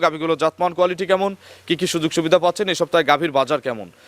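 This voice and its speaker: A man speaks with high pitch. The sound is dry and close, with no echo. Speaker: farm channel reporter. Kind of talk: field report with interviews.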